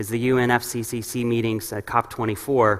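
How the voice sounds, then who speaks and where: A man with a medium-pitched voice and an American accent. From New York, US. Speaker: urban ecology researcher. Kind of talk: conference lecture. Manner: fast.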